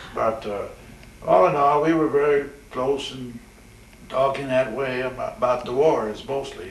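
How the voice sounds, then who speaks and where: Over noticeable background noise, a man speaks in a fairly high pitch at a fairly slow pace. His intonation is fairly even, broken by long, frequent pauses. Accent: American. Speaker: retired Navy chaplain, WWII veteran. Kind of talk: interview answer.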